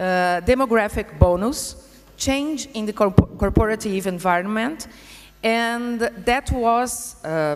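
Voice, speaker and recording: A woman speaks at a fairly slow pace in a Brazilian Portuguese accent, at medium pitch with ordinary pitch variation. Noticeable background noise can be heard. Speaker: vocational education institute director. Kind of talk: conference presentation. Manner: halting, many hesitations.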